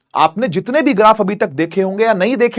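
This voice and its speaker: A man with a high voice speaks at a moderate pace with ordinary pitch variation, the sound dry and close with no echo and the recording very clean over a silent background. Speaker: physics teacher. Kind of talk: lecture. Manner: animated, energetic; repetitive, conversational.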